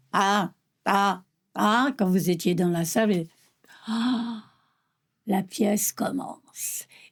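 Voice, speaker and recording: A woman speaks at a medium pitch, somewhat breathy, with ordinary pitch variation. The recording is very clean, with a silent background. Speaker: stage actress. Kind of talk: interview testimony. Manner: halting.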